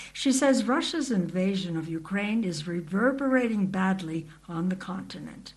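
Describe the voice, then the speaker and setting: This woman's voice sits at a medium pitch and sounds somewhat breathy. She speaks at a moderate pace with ordinary pitch variation. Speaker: radio news reporter. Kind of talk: scripted news report. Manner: formal, even, measured.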